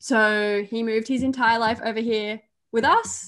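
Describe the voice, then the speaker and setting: A woman talks with an Australian accent at a fairly high pitch. Her intonation is fairly even against a quiet background. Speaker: YouTuber and podcaster. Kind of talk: casual chat.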